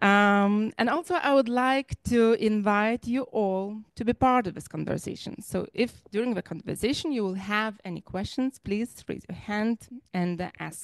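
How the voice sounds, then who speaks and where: A normal speaking voice moves at a moderate pace with ordinary pitch variation and hardly any pauses, over a quiet background. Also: woman, fairly high pitch for a woman, dry sound with no echo. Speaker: library director and event host. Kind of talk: moderating a memorial event. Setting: live event in a library. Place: hall.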